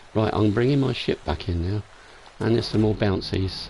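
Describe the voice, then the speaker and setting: A man with an English accent and a fairly low pitch at a fairly quick pace, with music in the background. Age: 60s. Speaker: gaming livestreamer. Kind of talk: live gameplay commentary with chat reading. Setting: live stream. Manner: casual.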